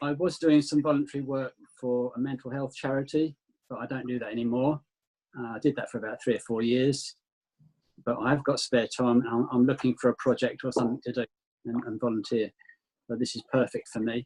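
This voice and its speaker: Someone with a southern English accent talks at a fairly quick pace and fairly even intonation. The sound is dry and close, with no echo. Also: man, medium pitch for a man. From southern England, Kent. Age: 60s. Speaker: retired volunteer. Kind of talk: video meeting introduction.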